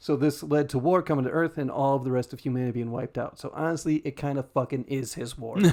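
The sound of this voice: Heard here is an unforced reading voice, moving with ordinary pitch variation.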